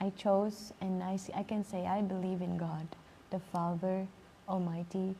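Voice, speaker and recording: A woman's somewhat breathy, dark and mellow voice at medium pitch, with monotone, flat intonation. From Spain. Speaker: life coach. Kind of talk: live stream chat. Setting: library. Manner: slow-paced.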